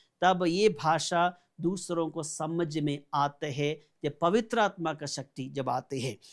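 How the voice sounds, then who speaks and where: A high-pitched man with a Malayali accent on a very clean recording with a silent background. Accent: Malayali-accented Hindi. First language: Malayalam (speaking Hindi). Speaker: pastor. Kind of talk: sermon.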